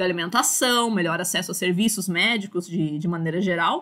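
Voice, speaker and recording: At a moderate pace, a woman with a medium-pitched, bright, sharp tone talks with ordinary pitch variation. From Brazil, São Paulo. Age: 30s. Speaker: university lecturer. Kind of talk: online lecture. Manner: casual, filler-heavy with repetitions.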